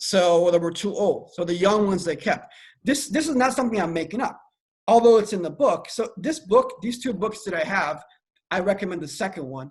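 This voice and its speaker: Using an American accent, a man speaks with a high pitch and lively intonation. His pace is fairly quick. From Iran, then US. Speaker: AI researcher and security analyst. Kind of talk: podcast interview. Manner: halting, many repetitions.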